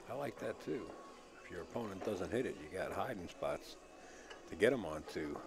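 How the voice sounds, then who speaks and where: A man speaks at a moderate pace in a relaxed tone, with long, frequent pauses, noticeable background noise and audible room echo. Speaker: pool commentator. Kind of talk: live commentary. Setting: live stream from a pool hall. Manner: slight stutter.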